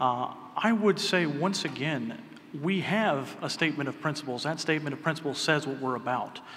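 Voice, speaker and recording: A normal speaking voice from a man, fairly high in pitch with ordinary pitch variation, at a moderate pace over light background noise. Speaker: political party chair candidate; candidate. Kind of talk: debate speech. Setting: stage with audience. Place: hall. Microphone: podium.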